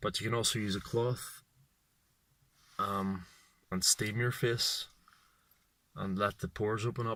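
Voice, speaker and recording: A man speaks at a fairly slow pace and medium pitch, his bright, sharp tone held in a flat monotone and broken by long, frequent pauses, on a very clean recording with a silent background. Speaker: vlogger. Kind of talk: casual vlog monologue. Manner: halting, hesitant speech.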